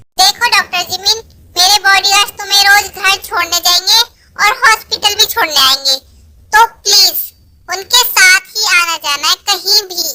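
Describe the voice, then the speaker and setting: A woman puts on a squeaky character voice at an extremely high pitch, recorded dry and close with no echo. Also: moderate pace. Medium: audio drama. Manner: commanding, firm.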